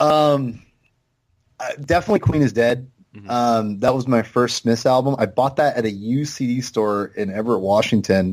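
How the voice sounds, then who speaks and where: This man has a plain, everyday voice at a medium pitch. He talks at a moderate pace with ordinary pitch variation. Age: 30s. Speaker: podcast guest. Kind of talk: casual chat.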